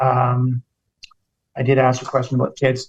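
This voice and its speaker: A man with a Canadian accent talks at medium pitch. His voice is somewhat breathy and his pace moderate. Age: 60s. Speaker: podcast host. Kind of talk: casual interview.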